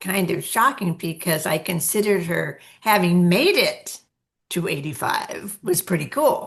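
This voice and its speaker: A woman speaks at medium pitch with lively intonation. Her voice is somewhat breathy and her pace fairly slow. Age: 80s+. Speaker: podcast co-host, elder. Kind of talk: casual chat.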